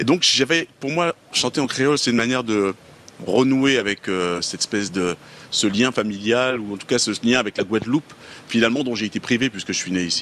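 With a normal speaking voice, a man talks fairly quickly at a medium pitch, his pitch varying in an ordinary way. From Paris region, Guadeloupean family. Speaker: musician. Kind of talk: interview.

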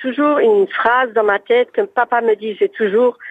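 A woman with an unremarkable speaking voice talks at a fairly slow pace, her pitch fairly high with ordinary variation. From Alsace, France. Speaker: caller, electrician's daughter and wife. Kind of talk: casual phone chat. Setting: phone call.

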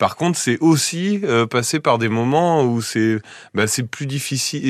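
Against a quiet background, a man talks at a fairly slow pace in an ordinary speaking voice with ordinary pitch variation. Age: 30s. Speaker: father back from a year-long family trip. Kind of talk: radio interview.

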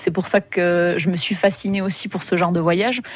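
A woman with a plain, everyday voice speaks at a medium pitch with ordinary pitch variation against a quiet background. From southern France, Hérault (Béziers area). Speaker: travel blogger and photographer. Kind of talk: radio interview.

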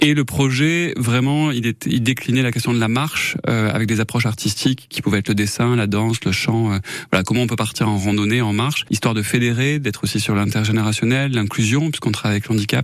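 An unremarkable speaking voice from a man of medium pitch, fairly quick, with hardly any pauses and ordinary pitch variation. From southern France, Gard (Saint-Christophe-lès-Alès). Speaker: dancer and arts venue founder. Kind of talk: radio interview.

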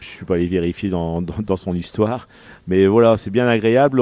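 The recording is dry and close with no echo and a quiet background, as a man with a dark, mellow tone and fairly low pitch speaks at a moderate pace with ordinary pitch variation. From northern France, Pas-de-Calais (Arras). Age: 50s. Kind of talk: radio interview. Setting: on location at his hotel-restaurant. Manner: halting, many repetitions.

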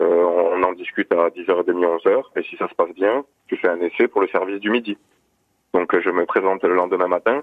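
Here a man speaks with a Périgord accent. His pace is moderate. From Gers, southwest France. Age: 30s. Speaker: caller. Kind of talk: testimony. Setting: phone call.

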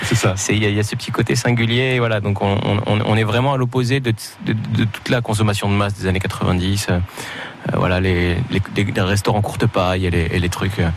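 A man talks in a fairly low pitch with fairly even intonation. Noticeable background noise is present. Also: moderate pace, very even loudness. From Morocco. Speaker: comedian. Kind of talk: radio interview.

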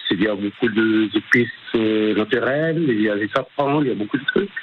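Noticeable background noise sits behind the voice. The speaker has a North African accent and lively intonation. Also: man. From Maghreb (Algeria). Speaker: restaurant owner and cook. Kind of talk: radio interview. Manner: halting.

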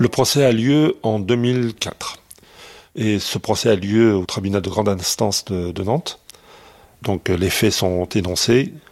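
A man with a fairly low voice speaks at a very slow pace, his pitch varying in an ordinary way, with long, frequent pauses. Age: 60s. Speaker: father of kidnapped newborn. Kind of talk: testimony.

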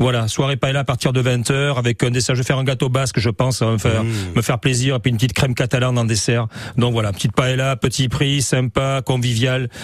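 Noticeable background noise accompanies a man speaking at a very fast pace, with very even loudness and fairly even intonation. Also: medium pitch for a man. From southwest France, Arcachon basin. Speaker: restaurant owner and chef. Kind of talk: casual chat.

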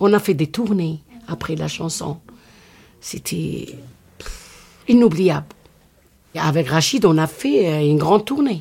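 A woman with an Algerian accent speaks very slowly, with long, frequent pauses and lively intonation. Her fairly low voice carries vocal fry and a dark, mellow tone. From Oran, Algeria. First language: Algerian Arabic (speaking French). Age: 60s. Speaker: rai singer. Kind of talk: interview.

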